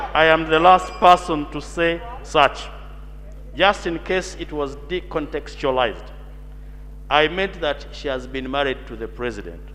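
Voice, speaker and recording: Amid noticeable background noise, a man speaks at a fairly slow pace with long, frequent pauses and big swings in loudness. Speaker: member of parliament. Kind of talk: parliamentary debate. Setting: parliament chamber. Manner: formal.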